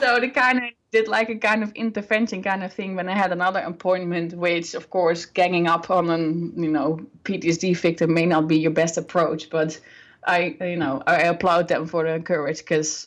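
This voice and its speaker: A woman with a fairly low pitch speaks with a non-native accent. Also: very clean recording, silent background. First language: not English. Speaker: birth and healing coach. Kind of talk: interview.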